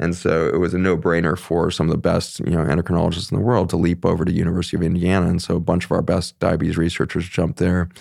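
Talking at a very fast pace, a man with an American accent keeps a very deep, low pitch, a monotone, flat intonation and very even loudness. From Colorado, US West. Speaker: physician. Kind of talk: interview conversation.

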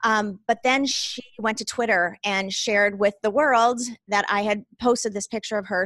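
Hardly any pauses break this woman's plain, everyday voice, pitched fairly high with fairly even intonation at a moderate pace. The sound is dry and close, with no echo. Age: 40s. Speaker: small business owner. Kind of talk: interview.

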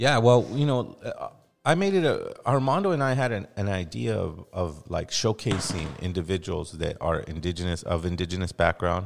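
In a very clean recording with a silent background, a man with an American accent and a fairly low pitch speaks at a moderate pace with very wide pitch swings and hardly any pauses. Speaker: podcast host and hip hop artist. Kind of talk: casual interview chat.

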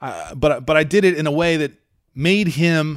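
An ordinary speaking voice from a man, with ordinary pitch variation and a moderate pace, in a very clean recording over a silent background. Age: 40s. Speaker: MMA journalist and podcast host. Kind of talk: solo podcast commentary. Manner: casual with frequent fillers.

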